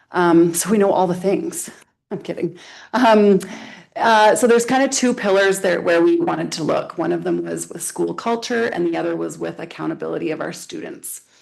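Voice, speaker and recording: Audible room echo around a woman talking at a moderate pace. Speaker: school vice principal. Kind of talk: presentation to town council. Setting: council meeting with microphones. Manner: loud.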